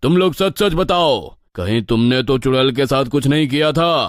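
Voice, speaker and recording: A cartoonish character voice from a man, fairly high-pitched with lively intonation, moderate pace and very even loudness, on a very clean recording with a silent background. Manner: authoritative, fatherly.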